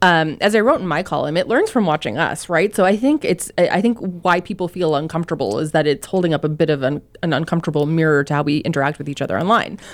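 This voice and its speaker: A woman with a Canadian accent talks at a very fast pace with hardly any pauses. Her pitch is fairly low and her intonation lively. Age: 30s. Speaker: newspaper columnist, guest co-host. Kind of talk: casual chat. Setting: studio.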